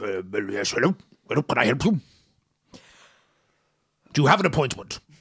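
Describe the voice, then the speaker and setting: A man does a put-on character voice, raspy and at a medium pitch, with very wide pitch swings at a moderate pace. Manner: stern, officious.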